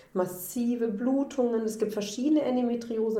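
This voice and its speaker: A woman speaks at a moderate pace. The room echo is audible, and there is noticeable background noise. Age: 40s. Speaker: endometriosis patient, social worker. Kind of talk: personal testimony in interview.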